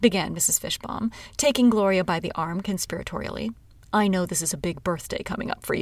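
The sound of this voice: Someone reads in an unforced reading voice with ordinary pitch variation.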